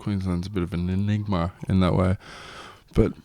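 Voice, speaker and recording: Speaking at a moderate pace, a man with a very deep, low voice uses ordinary pitch variation. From Australia. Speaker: podcast co-host, expat. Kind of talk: casual chat.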